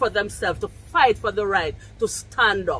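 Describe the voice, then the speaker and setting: A woman with a Jamaican accent speaks with lively intonation. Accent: Jamaican English with patois features. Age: 50s. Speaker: vlogger. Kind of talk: casual vlog monologue. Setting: outdoors on her deck. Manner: loud.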